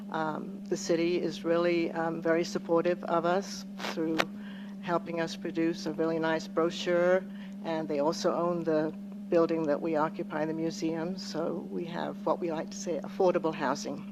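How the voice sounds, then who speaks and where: A soft-spoken voice at a moderate pace amid noticeable background noise. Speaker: local historical society representative. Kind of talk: presentation at public commission meeting. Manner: hesitant, many fillers.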